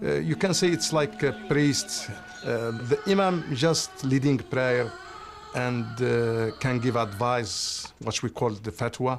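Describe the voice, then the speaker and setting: Music plays behind a man speaking at a fairly slow pace in an Arabic accent. His voice sits at medium pitch and swings very widely. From Algeria. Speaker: refugee and business owner. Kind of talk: interview. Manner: halting.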